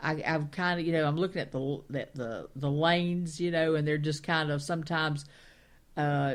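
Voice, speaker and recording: The speaker is a woman with a very deep, low pitch and fairly even intonation. The recording is very clean, with a silent background. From Carolinas, US South. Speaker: talk radio co-host. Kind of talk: casual chat.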